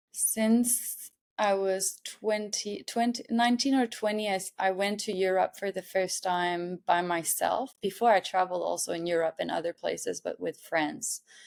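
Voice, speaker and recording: A woman with a French Canadian accent speaks at a moderate pace and medium pitch, with ordinary pitch variation and hardly any pauses. The recording is very clean, the background silent. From Montreal, Quebec. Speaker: artist. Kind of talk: podcast interview. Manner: halting.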